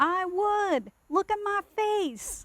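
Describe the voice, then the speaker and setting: A woman's put-on character voice, squeaky and extremely high, with ordinary pitch variation. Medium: read story. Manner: gruff.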